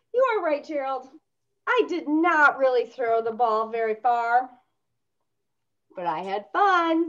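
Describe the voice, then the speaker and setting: A put-on character voice at a fairly slow pace, broken by long, frequent pauses. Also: female-sounding voice, high pitch for a woman. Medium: read story. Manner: upbeat, excited.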